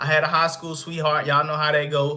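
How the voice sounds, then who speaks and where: In audible room echo, a man speaks at a fairly high pitch with a bright, sharp tone. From US South, Arkansas. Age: 20s. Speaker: fitness coach and content creator. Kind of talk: casual livestream monologue. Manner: casual, hesitant with fillers.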